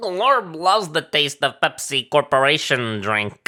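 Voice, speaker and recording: A man's put-on character voice, fairly high and fairly slow, on a very clean recording with a silent background. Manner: broken third-person speech.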